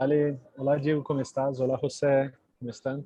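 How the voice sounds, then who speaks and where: A man speaks at a medium pitch with a Portuguese accent. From Brazil, Sao Paulo. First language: Portuguese (speaking Spanish). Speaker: technology company representative. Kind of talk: live webinar presentation. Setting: video call. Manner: slow, halting non-native Spanish.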